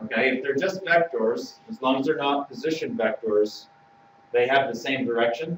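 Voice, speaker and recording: Medium-pitched male voice with ordinary pitch variation and noticeable background noise. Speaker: math teacher. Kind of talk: online class lesson.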